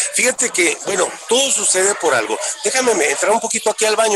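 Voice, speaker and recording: A man talking at a fairly quick pace. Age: 50s. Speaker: musician. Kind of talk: interview. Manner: halting.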